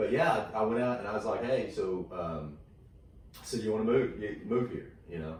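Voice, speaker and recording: Talking at a fairly quick pace, a man with a Texan accent is heard with audible room echo and noticeable background noise. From Texas. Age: 40s. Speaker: comedian. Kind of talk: casual chat. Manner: halting, many fillers.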